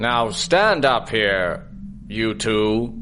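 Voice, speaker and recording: Over clear background noise, a man uses a put-on character voice at a medium pitch. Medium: audio drama. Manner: gruff, hesitant, grumbling.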